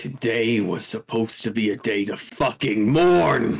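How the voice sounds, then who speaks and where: Putting on a character voice, a man growls in a guttural, angry tone at medium pitch and a moderate pace. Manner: growling, angry.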